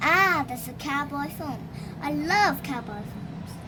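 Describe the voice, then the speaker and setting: Over loud background noise, a woman uses a put-on character voice and speaks fairly slowly. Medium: read story.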